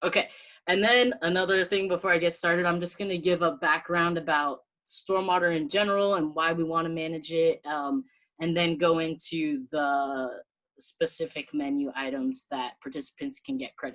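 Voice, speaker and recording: A woman's fairly low-pitched voice at a moderate pace, with lively intonation. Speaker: city stormwater specialist. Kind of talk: presentation. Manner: animated.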